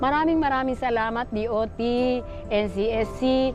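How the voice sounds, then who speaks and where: Background music plays while a woman talks. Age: 80s+. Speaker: senior tour guide. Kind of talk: interview testimony.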